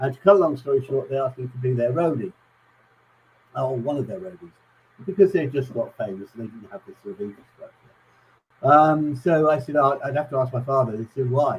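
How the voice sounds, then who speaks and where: A man talks at a fairly quick pace with long, frequent pauses, big swings in loudness, ordinary pitch variation and a somewhat breathy quality. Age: 60s. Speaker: guest telling music stories. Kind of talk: casual chat. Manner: halting, many fillers.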